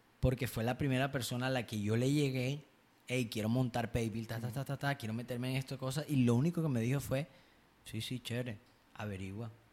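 With a normal speaking voice, a man talks at a fairly quick pace and fairly even intonation on a very clean recording with a silent background. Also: medium pitch for a man. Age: 20s. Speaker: podcast host, marketing consultant. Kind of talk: casual chat.

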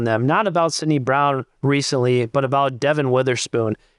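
Against a quiet background, a man speaks at medium pitch in a plain, everyday voice. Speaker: co-host, football podcaster. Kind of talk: casual banter, sports analysis.

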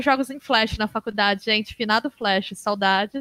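A woman with a fairly high voice speaks at a fairly slow pace. It is an ordinary speaking voice. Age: 30s. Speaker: games researcher and university professor. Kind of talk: casual interview.

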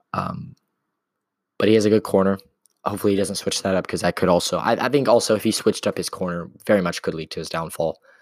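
A man talks at a very fast pace in a fairly low, animated voice with ordinary pitch variation. The sound is dry and close with no echo, on a very clean recording with a silent background. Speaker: combat sports commentator. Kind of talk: casual video commentary. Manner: animated, many fillers.

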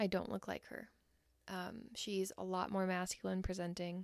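A woman's medium-pitched voice moves at a fairly slow pace in a dry, close sound with no echo. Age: 20s. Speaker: intimacy coach. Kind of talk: solo podcast monologue.

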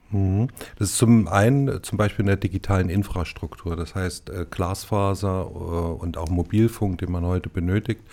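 A man with a very deep, low pitch and a dark, mellow tone speaks at a fairly slow pace, with hardly any pauses and fairly even intonation. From Thuringia, Erfurt. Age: 50s. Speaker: head of a state digital agency. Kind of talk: interview. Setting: studio.

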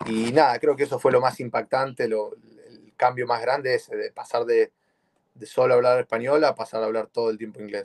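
A man at a fairly quick pace, with big swings in loudness and a dry, close sound with no echo. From Argentina, Buenos Aires. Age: 20s. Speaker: jiu-jitsu competitor. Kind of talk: interview.

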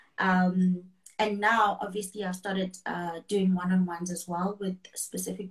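Monotone, flat intonation from a woman, somewhat breathy. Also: big swings in loudness. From South Africa, KwaZulu-Natal. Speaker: wellness coach and finance worker. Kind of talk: casual interview chat.

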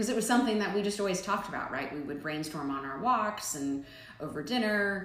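A woman with an American accent, audible room echo and noticeable background noise. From Nebraska, Omaha. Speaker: barbershop founder and entrepreneur. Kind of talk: interview.

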